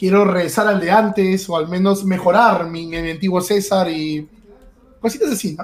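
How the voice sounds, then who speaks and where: A man speaks over noticeable background noise. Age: 20s. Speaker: streamer and esports analyst. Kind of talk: casual interview. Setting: live stream. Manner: hesitant, with many repeated words.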